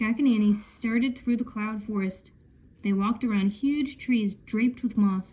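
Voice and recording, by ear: Intonation stays fairly even as the speaker reads aloud in a natural voice.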